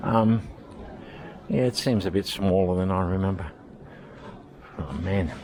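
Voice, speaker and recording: A man's very deep, low voice in an Australian accent, fairly slow with long, frequent pauses and ordinary pitch variation, with audible room echo and noticeable background noise. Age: 60s. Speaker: vlogger. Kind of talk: casual vlog monologue. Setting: walking around a supermarket. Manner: halting.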